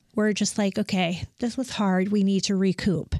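In an Upper Midwest accent, a woman speaks with monotone, flat intonation, and the sound is dry and close with no echo. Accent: Upper Midwest American. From West Michigan. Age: 40s. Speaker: painting business owner. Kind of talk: interview. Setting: studio.

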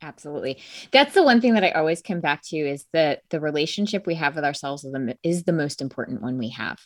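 In a very clean recording with a silent background, a woman with an American accent talks at a very fast pace, her very deep, low pitch carrying lively intonation. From US Northeast, Connecticut. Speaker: life coach. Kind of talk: interview.

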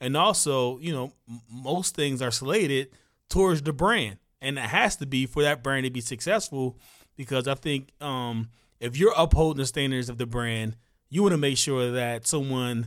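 On a very clean recording with a silent background, a man with a fairly high pitch talks at a moderate pace in an ordinary speaking voice with ordinary pitch variation. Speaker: podcast host. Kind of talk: interview chat.

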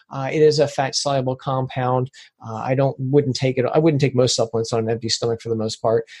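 This is a man talking fairly quickly. His voice comes out somewhat breathy. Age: 50s. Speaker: supplement expert. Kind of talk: interview.

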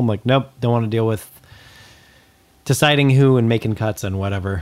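A man with an American accent speaks at a fairly quick pace. He has an unremarkable speaking voice with fairly low pitch. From Southern California, Antelope Valley. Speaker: punk music podcast co-host. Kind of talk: casual chat.

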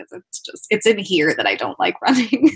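A woman at a fairly quick pace, with lively intonation. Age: 20s. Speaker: Paralympic volleyball athlete. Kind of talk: casual chat. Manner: animated.

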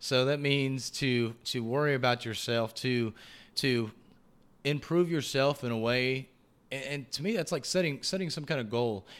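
With a Texan accent, a man speaks at a moderate pace and with ordinary pitch variation in a very clean recording with a silent background. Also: medium pitch for a man. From Texas, rural area northwest of Houston. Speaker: podcast host and guest. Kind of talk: casual interview chat.

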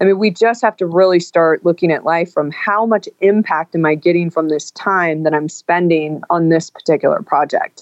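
A woman uses a normal speaking voice with an American accent. Her fairly low pitch shows ordinary variation, and her pace is moderate. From Northern California. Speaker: author and business executive. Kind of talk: interview.

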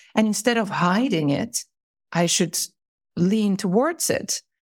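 A woman with a Finnish accent speaks in a somewhat breathy voice. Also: long, frequent pauses, very even loudness. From Finland. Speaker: corporate manager. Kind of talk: casual chat. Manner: halting.

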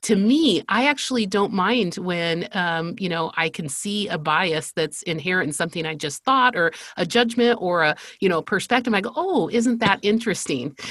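Speaking at a moderate pace and medium pitch, a woman with an American accent has an unremarkable speaking voice. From Spain (American missionary family). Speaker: marketing agency CEO. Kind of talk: interview conversation.

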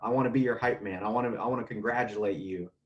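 A man with a normal speaking voice holds a medium pitch, shifting it in an ordinary way as he speaks at a moderate pace. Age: 30s. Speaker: air traffic controller. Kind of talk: casual chat.

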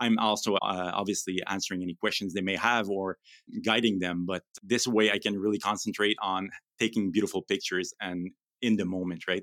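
A man's fairly low voice in a French accent, monotone and flat, at a fairly quick pace, with a dry, close sound with no echo and a very clean recording over a silent background. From Quebec, Canada (Gatineau). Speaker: part-time pet photographer. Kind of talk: podcast interview.

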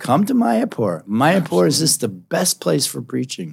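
Talking at a fairly quick pace, a man with an American accent has a medium pitch. Vocal fry runs through his voice. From US Northeast, Philadelphia. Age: 70s. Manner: animated, loud.

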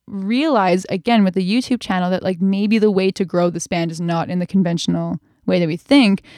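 In a Canadian accent, a woman with a medium-pitched, dark, mellow tone speaks at a fairly quick pace against a quiet background. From Canada, British Columbia (North Vancouver). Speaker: singer and vocal coach. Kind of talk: casual interview chat.

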